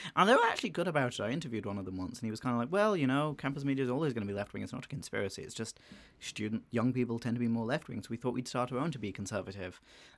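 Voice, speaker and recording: Someone with an Irish accent talks at a very fast pace with ordinary pitch variation. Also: man. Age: 20s. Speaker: student podcast host. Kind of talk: casual chat. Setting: studio.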